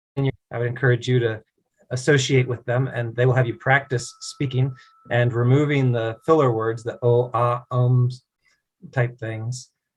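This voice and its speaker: In an American accent, the speaker talks at a moderate pace, somewhat breathy, with monotone, flat intonation. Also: man, medium pitch for a man. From US East Coast, Virginia. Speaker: native English conversation partner. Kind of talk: casual conversation practice.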